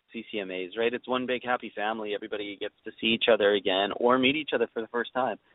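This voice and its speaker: A man in a Canadian Prairie accent talks at a medium pitch with fairly even intonation. His pace is very fast, with hardly any pauses. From Saskatchewan, Canada. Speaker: country singer-songwriter. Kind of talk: interview. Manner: hesitant, repeats words.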